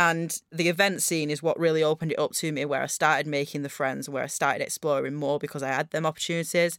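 This woman has a very deep, low pitch and a Northern English accent. She talks very fast in a flat, monotone way. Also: hardly any pauses, dry, close sound with no echo, very clean recording, silent background. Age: 30s. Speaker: podcast co-host. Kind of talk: casual chat.

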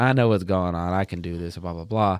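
In a West Texas accent, a man talks at a fairly quick pace with ordinary pitch variation on a very clean recording with a silent background. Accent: West Texas American. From Texas, Plainview. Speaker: college student. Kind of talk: casual chat.

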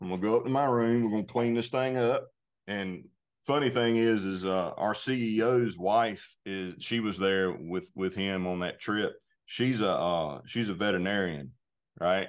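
Against a quiet background, a man with a Southern US accent speaks at a fairly low pitch. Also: ordinary pitch variation, moderate pace. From US South, North Carolina. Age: 40s. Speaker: outdoor gear company spokesman. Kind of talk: casual interview.

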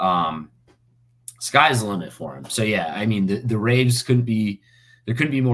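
A man talks at a moderate pace with ordinary pitch variation. He has a normal speaking voice. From US South, Fort Myers, Florida. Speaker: stage manager for sports broadcasts. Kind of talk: interview. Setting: podcast recording.

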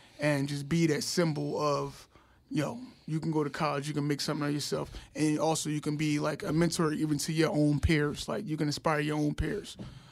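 A man uses a plain, everyday voice at a fairly high pitch. His pace is moderate. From North Philadelphia. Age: young. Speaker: school health worker. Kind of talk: casual chat.

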